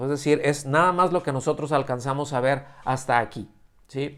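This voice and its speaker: This man has a fairly high pitch and ordinary pitch variation, speaking at a fairly slow pace. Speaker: preacher. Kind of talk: sermon. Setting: church service streamed via video call. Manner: halting, many fillers and restarts.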